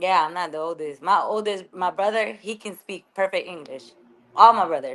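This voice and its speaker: Speaking with a strong Venezuelan accent at a moderate pace, the voice shows ordinary pitch variation and big swings in loudness. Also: woman, medium pitch for a woman. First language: Spanish. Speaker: actress. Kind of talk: casual interview. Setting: studio.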